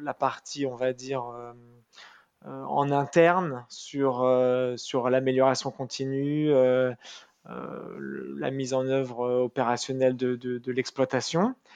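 A man talks at a very slow pace and medium pitch, with fairly even intonation. Long pauses come often. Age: 30s. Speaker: company director. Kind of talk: interview. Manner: halting, many hesitations.

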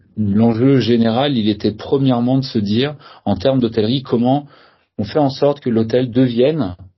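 A man's voice comes across somewhat breathy. His intonation is fairly even. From Brittany, France (Saint-Malo area). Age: 30s. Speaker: hotel founder, entrepreneur. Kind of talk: interview. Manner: halting, many hesitations and repeated words.

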